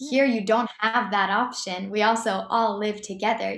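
A woman with an American accent keeps a fairly even intonation in a room with audible echo. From US Northeast (Boston area). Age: 20s. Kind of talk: interview, personal testimony.

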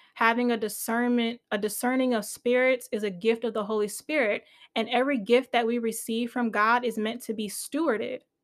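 Animated and fairly quick, a woman with an American accent speaks fairly high with hardly any pauses. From US, Nigerian family. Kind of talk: casual sermon-style teaching.

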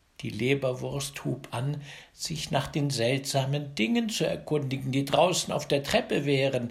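The voice has vocal fry and a warm, gentle tone. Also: man, fairly high pitch for a man, ordinary pitch variation, fairly slow pace. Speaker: fairy tale narrator. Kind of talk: bedtime story telling, fairy tale read aloud. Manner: warm, gentle, slow and coaxing, with lively storyteller inflection; directly addresses children, playful.

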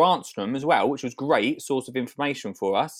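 A man with an Essex accent and a fairly high pitch. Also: very clean recording, silent background. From Colchester, Essex, England. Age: 30s. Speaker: gardener, TV presenter. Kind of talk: casual interview. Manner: animated.

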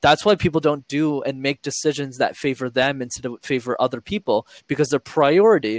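A man with a fairly high voice talks at a moderate pace, hardly pausing, in a dry, close recording with no echo, very clean and with a silent background. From Montreal, Canada. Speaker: YouTube creator and public speaking coach. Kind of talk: interview conversation.

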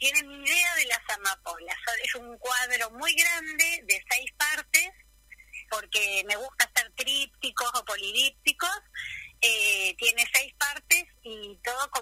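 Her high voice has a bright, sharp tone and very wide pitch swings. The woman speaks at a very slow pace, in a dry, close sound with no echo. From Buenos Aires, Argentina. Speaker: retired kindergarten teacher and painter. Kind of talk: radio interview.

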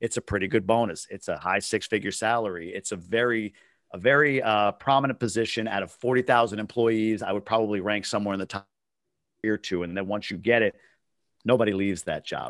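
Here a man has a plain, everyday voice, fairly low in pitch, and his intonation is fairly even. He talks at a fairly quick pace, and the sound is dry and close with no echo. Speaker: real estate investor. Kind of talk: casual interview. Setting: video call from a hotel room.

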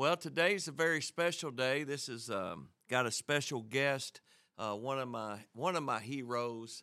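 In a Southern US accent, a man speaks at a fairly slow pace with a bright, sharp tone. His pitch varies in an ordinary way, and the recording is very clean with a silent background. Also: medium pitch for a man. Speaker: radio ministry host. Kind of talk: radio show intro and prayer.

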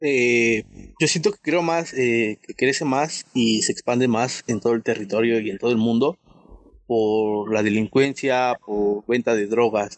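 An unremarkable speaking voice goes at a fairly slow pace with ordinary pitch variation. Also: man, medium pitch for a man. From Mexico City. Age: young. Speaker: youth community member. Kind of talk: panel discussion. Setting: video call.

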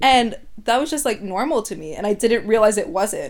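A woman with a Canadian accent uses a plain, everyday voice, ordinary pitch variation and a fairly quick pace. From Vancouver, Canada. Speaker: podcast guest. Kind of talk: casual chat.

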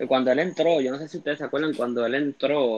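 A man with an ordinary speaking voice, talking at a fairly quick pace with fairly even intonation. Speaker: graphic artist. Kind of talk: casual chat.

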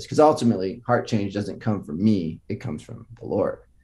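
A man with an American accent talks at a fairly quick pace in a medium-pitched, dark, mellow voice that is somewhat breathy. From US West Coast, Los Altos, California. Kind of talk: faith testimony in casual interview.

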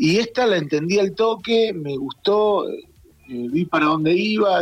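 The sound is dry and close, with no echo. A man's intonation is lively. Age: 50s. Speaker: theatre director and actor. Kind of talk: interview.

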